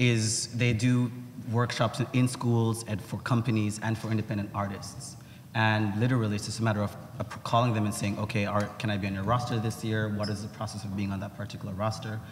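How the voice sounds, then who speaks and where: This man's voice is fairly low-pitched and somewhat breathy, moving at a fairly quick pace. His delivery stays monotone, with flat intonation. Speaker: dance teacher and artist, panelist. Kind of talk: panel discussion. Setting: panel before a live audience. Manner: hesitant, many fillers and restarts.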